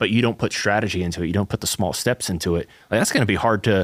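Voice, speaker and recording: Talking at a very fast pace, a man with a slight Southern US accent uses a fairly low pitch. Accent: slight Southern twang. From US South. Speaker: church podcast co-host. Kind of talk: casual chat.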